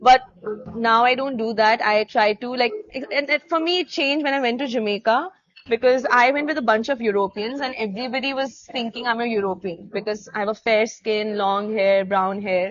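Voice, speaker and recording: A woman speaks with an Indian accent. Her pace is fairly quick. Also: fairly high pitch for a woman, ordinary pitch variation. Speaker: dancer. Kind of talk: casual chat.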